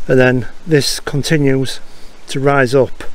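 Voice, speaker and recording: Here a man talks with ordinary pitch variation. The sound is dry, with no echo. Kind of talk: casual vlog commentary. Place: forest. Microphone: phone near.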